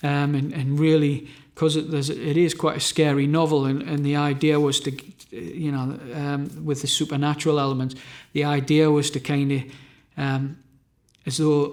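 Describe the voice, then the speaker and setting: A fairly high-pitched man in a Northumbrian accent, with monotone, flat intonation. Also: moderate pace. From Northumberland, England. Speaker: novelist and musician. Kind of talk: interview answer.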